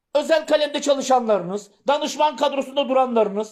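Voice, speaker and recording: On a very clean recording with a silent background, a man talks fairly quickly at an extremely high pitch. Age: 50s. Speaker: political commentator and former parliamentary candidate. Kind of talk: political address to young voters on a livestream.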